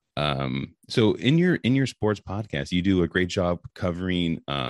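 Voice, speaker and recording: The voice carries vocal fry and an American accent. The sound is dry and close with no echo, over a quiet background. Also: man. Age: 30s. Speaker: sports podcast host. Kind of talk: casual interview chat. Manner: halting, many fillers.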